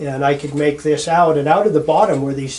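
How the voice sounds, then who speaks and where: A man's fairly high voice with an American accent, moderate pace and fairly even intonation, amid noticeable background noise. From Montana, Bitterroot Valley. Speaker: eyewitness interviewee. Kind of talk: testimony. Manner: halting, with many fillers.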